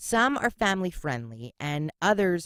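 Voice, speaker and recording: The speaker has a Philadelphia accent and very wide pitch swings. The recording is very clean with a silent background and a dry, close sound with no echo. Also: woman. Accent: Philly. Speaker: podcast host. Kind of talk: casual podcast monologue. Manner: sassy, sarcastic.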